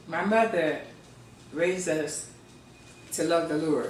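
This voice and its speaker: A woman with an American accent speaks at a fairly slow pace and a fairly low pitch. Her pitch varies in an ordinary way, with music in the background. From Philadelphia, Pennsylvania. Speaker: poet and Sunday School teacher. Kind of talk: interview answer.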